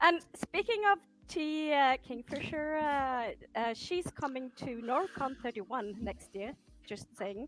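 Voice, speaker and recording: Speaking very slowly, a woman uses lively intonation and a high pitch. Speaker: booktuber. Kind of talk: casual group chat. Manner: halting.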